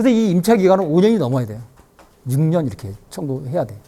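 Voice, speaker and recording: On a very clean recording with a silent background, a man with a dark, mellow tone talks at a very fast pace with very wide pitch swings. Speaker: farm owner. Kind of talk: lecture.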